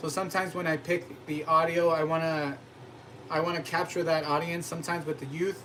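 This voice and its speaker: A fairly high-pitched man's voice comes through noticeable background noise. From US, Mexican-American family. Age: 30s. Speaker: cooking channel host. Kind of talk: casual live-stream chat. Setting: live stream.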